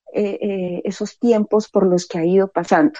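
Her voice is a woman's, with a dark, mellow tone. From Colombia, Medellín. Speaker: poet. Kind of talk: interview. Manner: reflective, hesitant.

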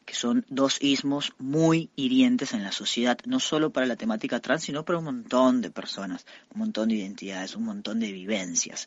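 Keeping a moderate pace with hardly any pauses, a man speaks with very wide pitch swings. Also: fairly high pitch for a man. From Costa Rica. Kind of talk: interview.

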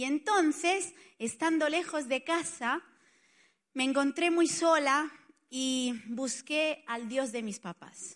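In an Italian accent, the speaker goes at a very slow pace with ordinary pitch variation against a quiet background. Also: woman, high pitch for a woman. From Spain, Barcelona. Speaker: pastor. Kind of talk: sermon.

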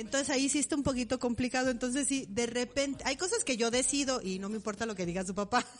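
Talking at a very fast pace with hardly any pauses, a woman with a high-pitched voice sounds animated over noticeable background noise. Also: ordinary pitch variation. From Mexico, Morelia. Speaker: podcast co-host. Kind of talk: casual chat.

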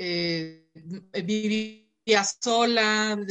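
A woman with a Mexican accent speaks at medium pitch in a bright, sharp tone with fairly even intonation. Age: 30s. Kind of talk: interview.

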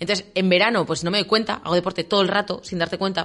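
A woman's medium-pitched voice at a very fast pace. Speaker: radio co-host. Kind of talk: casual chat.

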